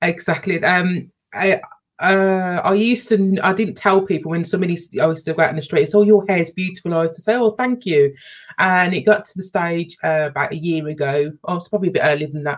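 A very fast delivery in a British accent, with ordinary pitch variation. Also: woman, medium pitch for a woman. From UK, Jamaican parents. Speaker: youtuber. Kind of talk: casual chat.

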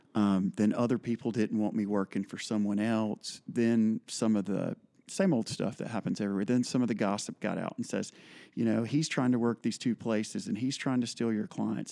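On a very clean recording with a silent background and a dry, close sound with no echo, a man with an American accent speaks at a moderate pace, with a dark, mellow tone and a medium pitch. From US South. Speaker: fly fishing guide and shop manager. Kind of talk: casual chat.

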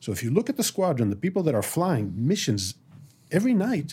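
A man speaks at a moderate pace in a dark, mellow, somewhat breathy voice, on a very clean recording with a silent background. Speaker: military reserve colonel and strategist. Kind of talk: interview. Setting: studio.

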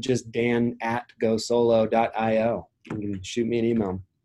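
Very slowly, a man speaks at a medium pitch in a dry, close sound with no echo. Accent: American. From US Midwest / West (South Dakota, Oregon). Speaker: tech startup founder. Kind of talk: casual interview.

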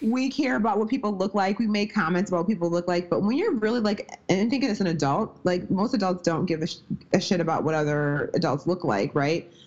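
A woman speaks at a fairly quick pace with lively intonation. Noticeable background noise runs underneath. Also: medium pitch for a woman. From US Midwest. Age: 30s. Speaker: strength and nutrition coach. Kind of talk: casual interview.

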